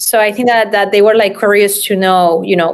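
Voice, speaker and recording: The speech has a strong Spanish accent. The intonation is monotone and flat. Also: woman. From Spain. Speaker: real estate developer. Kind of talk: interview.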